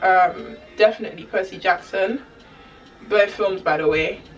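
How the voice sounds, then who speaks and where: A woman talks at a moderate pace while music plays behind her. Her voice sits at a medium pitch and varies in an ordinary way. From Germany, Ghanaian family. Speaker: YouTuber. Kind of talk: casual Q&A vlog. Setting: talking to camera. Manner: animated, rambling.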